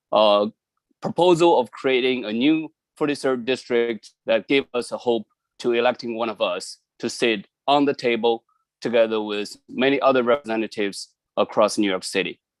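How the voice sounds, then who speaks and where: In a Chinese accent, the speaker talks at a moderate pace with ordinary pitch variation, in a dry, close sound with no echo. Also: man, medium pitch for a man. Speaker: community member. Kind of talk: public testimony. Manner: halting.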